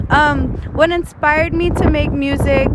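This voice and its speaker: A woman's voice at a fairly slow pace, with audible room echo and noticeable background noise. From Texas, Houston. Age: 20s. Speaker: rapper. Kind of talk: interview. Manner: casual, many fillers.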